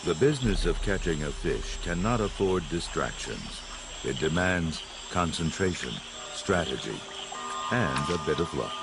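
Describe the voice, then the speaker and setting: With music in the background, a man with a very deep, low pitch uses lively intonation broken by long, frequent pauses. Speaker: nature documentary narrator. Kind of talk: nature documentary narration, scripted and poetic. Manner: measured, hushed and dramatic, with a slow, storytelling cadence; formal, polished and evocative.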